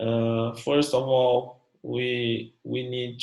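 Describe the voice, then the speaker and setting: The speaker has a Brazilian Portuguese accent and a monotone, flat intonation. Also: man. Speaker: academic researcher. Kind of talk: academic presentation. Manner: halting, many fillers.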